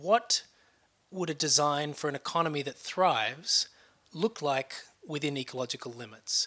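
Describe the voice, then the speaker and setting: A man's fairly high, bright, sharp voice with an Australian accent, at a fairly quick pace with ordinary pitch variation. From Australia, Sydney. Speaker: nonprofit research director. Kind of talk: interview. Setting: conference event.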